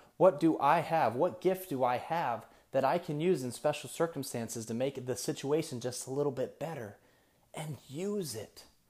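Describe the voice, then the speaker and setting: This man's pitch is fairly high, with ordinary variation and a moderate pace. The recording is very clean, the background silent. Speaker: motivational podcast host. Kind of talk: motivational monologue. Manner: rambling.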